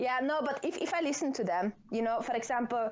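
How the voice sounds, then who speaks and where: At a moderate pace, a woman speaks with lively intonation over noticeable background noise. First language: Dutch. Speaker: podcast guest. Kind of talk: casual chat.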